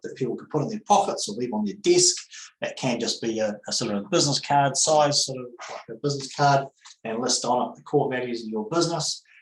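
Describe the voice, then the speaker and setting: A man's fairly high voice at a fairly quick pace, with lively intonation. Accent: New Zealand. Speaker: accountant. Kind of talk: webinar presentation. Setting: online webinar. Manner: fast; hesitant, many fillers.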